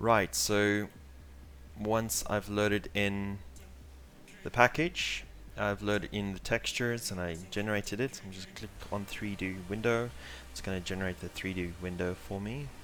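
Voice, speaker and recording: A man with a South African accent talks at a moderate pace and fairly low pitch, with ordinary pitch variation, big swings in loudness, and long, frequent pauses. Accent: South African (Afrikaans) English. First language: Afrikaans. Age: 20s. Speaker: 3D artist and tutorial instructor. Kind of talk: live tutorial. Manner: casual, many filler words.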